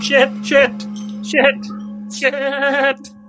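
A high-pitched, put-on character voice in a panicked tone plays over clear music in the background. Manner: panicked, muttering.

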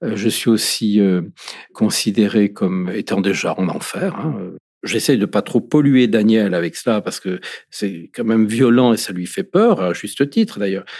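Fairly slowly, a man speaks with ordinary variation in pitch. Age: 50s. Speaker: former seminarian, LGBT faith advocate. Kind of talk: testimony. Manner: halting.

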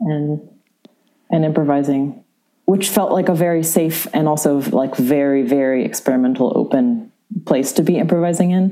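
Using lively intonation, a woman with an American accent speaks at a very deep, low pitch. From San Francisco, US West Coast. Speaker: cellist and composer. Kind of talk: casual interview conversation.

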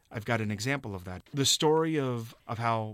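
A man with an American accent uses a normal speaking voice at medium pitch, with ordinary pitch variation. He keeps a moderate pace, and the recording is very clean with a silent background. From Cincinnati, Ohio. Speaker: documentary producer. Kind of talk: radio interview. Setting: studio.

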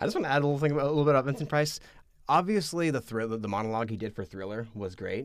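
Speaking at a very fast pace, a man uses lively intonation and a fairly high pitch. The recording is very clean, with a silent background. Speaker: podcast co-host and multimedia editor. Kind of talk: casual chat. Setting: studio. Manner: animated, rambling with repeated words.

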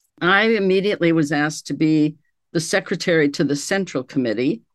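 Against a quiet background, a woman talks with ordinary pitch variation. She keeps a moderate pace. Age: 70s. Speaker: sociology professor and cult researcher. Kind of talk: casual interview conversation.

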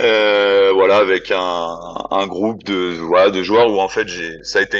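A man speaks at a fairly slow pace. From France, Lyon area. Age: 30s. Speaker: football coach. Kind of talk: casual interview. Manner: halting, many fillers and repetitions.

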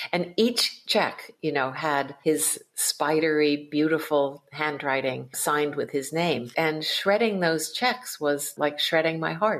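Speaking with an American accent, a woman with a very deep, low voice talks at a very slow pace with hardly any pauses and ordinary pitch variation. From US East Coast, Connecticut. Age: 60s. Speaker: novelist and Zen Buddhist priest. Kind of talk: interview conversation.

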